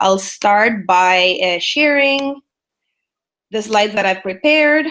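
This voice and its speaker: A woman with a fairly high pitch and ordinary pitch variation speaks at a fairly slow pace in a bright, sharp tone. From El Salvador. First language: Spanish. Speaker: business strategist. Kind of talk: webinar presentation. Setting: online webinar.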